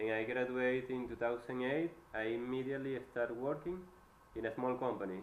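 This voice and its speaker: A man with a Venezuelan accent speaks at a fairly quick pace and medium pitch, his intonation fairly even and his loudness very even, with audible room echo. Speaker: electrical engineer. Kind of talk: job interview. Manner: halting.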